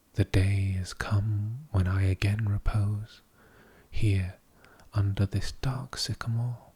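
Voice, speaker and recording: A man speaks very slowly at a fairly low pitch, in a dark, mellow, somewhat breathy voice with a calm tone. His intonation is fairly even, and the recording is very clean with a silent background. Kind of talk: poetry reading. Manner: slow, calm, somewhat monotone.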